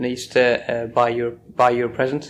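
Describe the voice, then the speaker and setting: Speaking in a northeast English accent, a man talks at a fairly quick pace and medium pitch. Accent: north-east English. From northern England, Sunderland. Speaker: oral history interviewee. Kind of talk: oral history interview.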